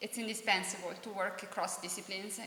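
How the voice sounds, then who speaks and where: A woman with an Italian accent speaks at a moderate pace with ordinary pitch variation. Audible room echo and noticeable background noise surround her voice. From Italy. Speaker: professor. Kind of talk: panel presentation.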